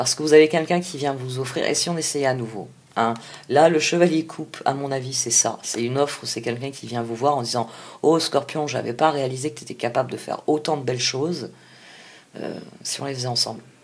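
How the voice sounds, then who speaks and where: This woman has a very deep, low pitch and fairly even intonation. She talks at a fairly quick pace with big swings in loudness. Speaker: tarot reader. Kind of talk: tarot reading. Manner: halting.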